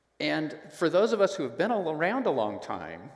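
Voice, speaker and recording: A man at a moderate pace, with audible room echo and a quiet background. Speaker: preacher. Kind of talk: sermon. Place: church.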